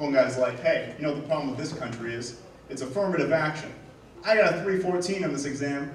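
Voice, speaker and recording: A man talks at a very fast pace with lively intonation. Noticeable background noise and audible room echo fill the recording. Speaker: stand-up comedian. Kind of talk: stand-up. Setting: stage with audience. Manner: quiet.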